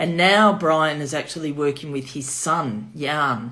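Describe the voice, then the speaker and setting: Audible room echo surrounds a voice with a Melbourne accent. The pace is fairly slow, with ordinary pitch variation. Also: woman. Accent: Melbourne Australian. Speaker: wine shop owner. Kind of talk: virtual wine tasting.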